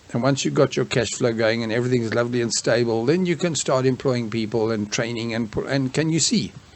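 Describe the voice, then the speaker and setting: Over noticeable background noise, a man with a medium pitch speaks at a fairly quick pace with ordinary pitch variation. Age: 60s. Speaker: small business and online marketing instructor. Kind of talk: tutorial. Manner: halting, many fillers and restarts; casual.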